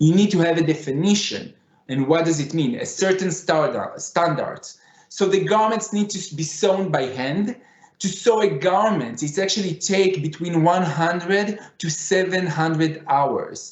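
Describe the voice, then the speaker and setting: Speaking fairly slowly with a Middle Eastern accent, a man keeps a high pitch and ordinary pitch variation. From Israel (Tel Aviv). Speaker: fashion designer. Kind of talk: conference presentation. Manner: halting.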